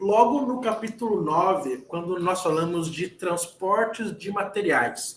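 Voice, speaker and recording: A man's high-pitched voice at a very slow pace, with ordinary pitch variation and hardly any pauses. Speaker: engineer giving a lecture. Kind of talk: lecture. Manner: halting, repeats words.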